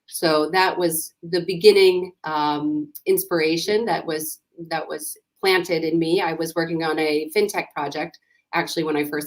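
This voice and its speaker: Using fairly even intonation, a woman with a fairly low pitch speaks in a New York accent. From US, New York. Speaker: startup founder and CEO. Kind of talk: interview.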